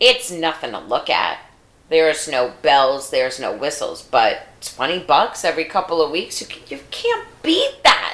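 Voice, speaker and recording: A woman with an American accent at a fairly slow pace, with noticeable background noise. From New York. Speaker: podcast co-host. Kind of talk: casual chat.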